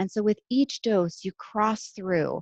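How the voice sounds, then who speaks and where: A quiet woman's voice, dry and close with no echo. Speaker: neurologist. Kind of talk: lecture. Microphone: head-mounted mic, sounds quiet.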